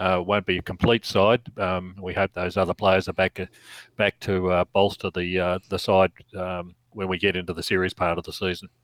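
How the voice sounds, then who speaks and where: On a very clean recording with a silent background and a dry, close sound with no echo, a man with an Australian accent speaks at a moderate pace in a very deep, low, monotone voice with flat intonation. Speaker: podcast co-host. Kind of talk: casual chat.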